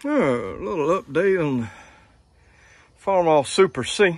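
The sound is dry with no echo as a man talks. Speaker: hobby tractor restorer. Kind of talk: casual vlog chat. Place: farm machine. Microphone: phone near.

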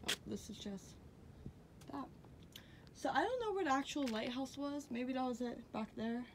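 A woman speaks at a moderate pace in a high voice with ordinary pitch variation, over noticeable background noise. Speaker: vlogger exploring ruins. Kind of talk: casual vlog chat. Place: open country. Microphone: phone near.

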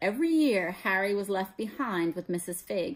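Lively intonation in a natural voice reading aloud

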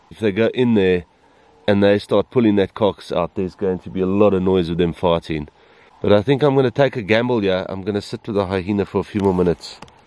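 A man talks at a very fast pace in a fairly low voice with ordinary pitch variation. The sound is dry with no echo. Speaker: safari guide filmmaker. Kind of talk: wildlife commentary. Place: open country. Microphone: phone near.

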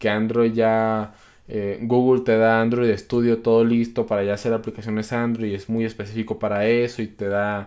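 With monotone, flat intonation and a moderate pace, this man talks over a quiet background. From Colombia. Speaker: programming youtuber; programming channel host. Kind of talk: live stream Q&A. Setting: live stream. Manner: casual, many filler words. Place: home room.

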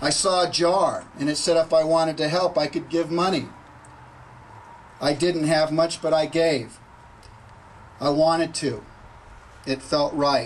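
Over light background noise, a man speaks at a fairly slow pace with fairly even intonation and long, frequent pauses. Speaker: speaker. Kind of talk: ceremonial speech. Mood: reflective, earnest. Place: street. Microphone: podium.

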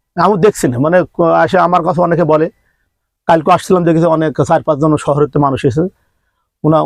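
The recording is dry and close with no echo, over a quiet background. A man speaks at a fairly high pitch with ordinary pitch variation and vocal fry. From Bangladesh, Jhenaidah. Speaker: humanitarian volunteer. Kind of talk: interview.

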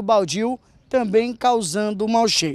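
The speaker is a man. His voice sounds close and dry, without any echo. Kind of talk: street reporter standup piece, on-location news report. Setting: outdoors on a street. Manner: earnest, brisk, point-by-point, directing viewers to look at things.

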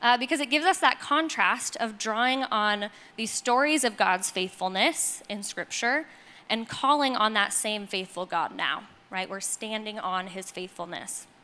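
This woman speaks at a moderate pace in a bright, sharp tone. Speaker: speaker. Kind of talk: sermon. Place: stage. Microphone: handheld.

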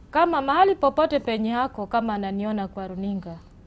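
Her intonation lively and her pitch fairly high, a woman talks at a moderate pace. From western Kenya, Vihiga; Kenya. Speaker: mother seeking help for sick child; guest. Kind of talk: TV interview testimony. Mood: sad, pleading. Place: studio. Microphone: lapel.

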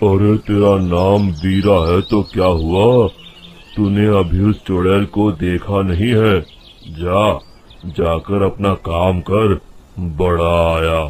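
A man rumbles along at a very slow pace in a cartoonish character voice. His pitch is very deep and low. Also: fairly even intonation. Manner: grumbling, scornful.

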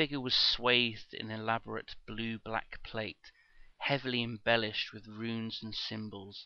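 The intonation holds fairly even. It is plain reading aloud.

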